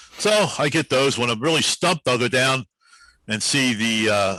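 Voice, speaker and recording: With lively intonation and a bright, sharp tone, a man speaks at medium pitch in a dry, close sound with no echo. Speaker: public address announcer for a professional hockey team. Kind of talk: interview answer, casual storytelling.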